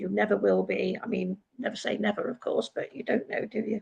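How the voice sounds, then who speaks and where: A woman with an English accent talks at a fairly quick pace. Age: 70s. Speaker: retired personal assistant. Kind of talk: panel discussion.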